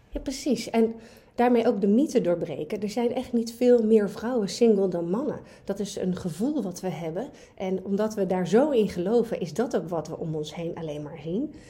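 A woman speaks at a medium pitch in a dark, mellow, somewhat breathy tone with lively intonation. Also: moderate pace. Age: 40s. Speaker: dating coach. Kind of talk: casual chat.

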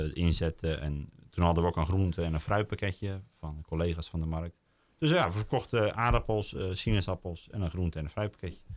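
Speaking at a moderate pace with ordinary pitch variation, a man with a very deep, low pitch is heard in a very clean recording with a silent background. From Netherlands, South Holland (Hoeksche Waard). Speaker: local delivery business owner. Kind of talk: podcast interview. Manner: halting.

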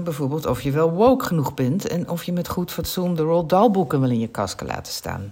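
A woman's very deep, low-pitched voice at a very fast pace, with noticeable background noise. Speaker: psychologist. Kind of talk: scripted book review.

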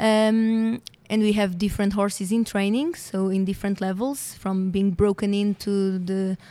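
In a Portuguese accent, the voice has a dark, mellow tone. It moves at a fairly slow pace with fairly even intonation. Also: woman. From Portugal. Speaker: veterinarian. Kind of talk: interview.

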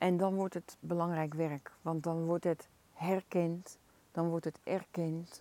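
Very slow and monotone, a woman speaks at fairly low pitch in a dark, mellow tone with flat intonation. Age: 60s. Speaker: equine-assisted coach. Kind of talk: podcast monologue. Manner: hesitant with filler sounds.

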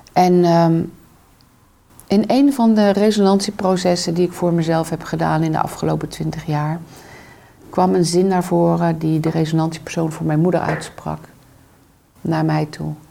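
A woman at a fairly low pitch and a moderate pace, with long, frequent pauses and noticeable background noise. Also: fairly even intonation. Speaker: trauma therapist and coach. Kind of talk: interview conversation. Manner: reflective.

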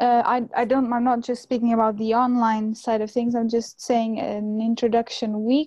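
A woman with a Portuguese accent speaks at a moderate pace with hardly any pauses, against a quiet background. Her fairly high voice has a dark, mellow tone and monotone, flat intonation. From Portugal, Cascais near Lisbon. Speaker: graduate student. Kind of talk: interview.

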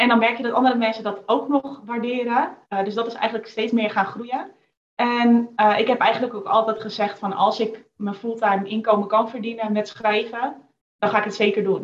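A woman's fairly high voice, flat and monotone in intonation. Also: moderate pace. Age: 20s. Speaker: copywriter and business owner. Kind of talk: casual interview. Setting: video call.

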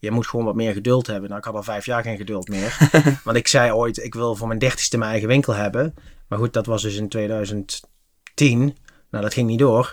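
A man's medium-pitched voice, monotone and flat, at a fairly quick pace on a very clean recording with a silent background. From Netherlands, Limburg (Venray). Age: 40s. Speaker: retail franchise entrepreneur. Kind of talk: interview. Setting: studio. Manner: hesitant with many filler sounds.

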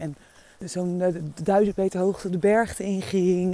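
The woman speaks at a medium pitch with a dark, mellow tone. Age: 30s. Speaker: podcast host. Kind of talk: walking monologue. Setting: outdoors.

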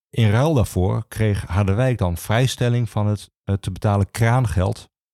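Speaking at a moderate pace, a man has a fairly low pitch and a slightly mellow tone. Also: ordinary pitch variation.

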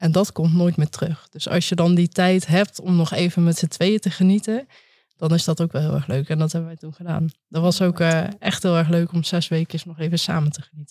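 A woman with a fairly low pitch and a dark, mellow tone speaks at a fairly quick pace, somewhat breathy, with fairly even intonation and big swings in loudness, in a dry, close sound with no echo. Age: 30s. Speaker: consultant. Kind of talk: casual interview chat.

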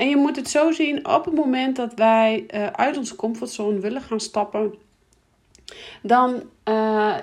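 At a fairly slow pace, a woman speaks at a fairly high pitch with fairly even intonation.

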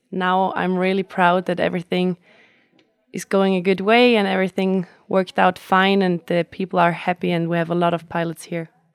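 With a German accent, a woman speaks at a moderate pace and medium pitch in a monotone, flat intonation, the sound dry and close with no echo. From Austria, Tyrol. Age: 20s. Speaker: flight instructor and event organizer. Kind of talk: interview. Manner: hesitant, with fillers.

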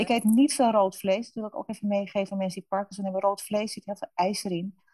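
A woman's somewhat breathy, medium-pitched voice with fairly even intonation, in a dry, close sound with no echo. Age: 50s. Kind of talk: interview. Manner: halting.

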